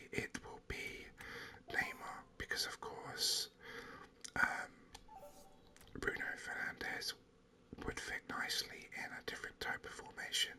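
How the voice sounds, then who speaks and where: Whispering at a fairly slow pace in a calm tone, the speaker leaves long, frequent pauses over noticeable background noise. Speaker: gaming ASMR content creator. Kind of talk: whispered gaming commentary. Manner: whispered, calm.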